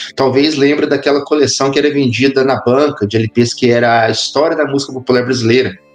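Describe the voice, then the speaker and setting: Over music in the background, a man with a Minas Gerais accent talks at a medium pitch and a fairly quick pace, with fairly even intonation, very even loudness and hardly any pauses. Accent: Minas Gerais (mineiro). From Brazil, interior of Minas Gerais. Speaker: history professor. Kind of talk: casual interview chat.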